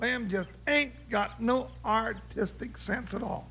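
A man puts on a character voice at an extremely high pitch, bright and sharp in tone with vocal fry. He speaks slowly, his intonation fairly even.

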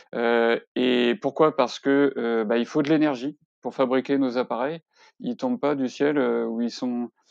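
Fairly even intonation at a fairly slow pace. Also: man, medium pitch for a man. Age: 40s. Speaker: climate workshop facilitator and web developer. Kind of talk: interview. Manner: halting, many fillers and repetitions.

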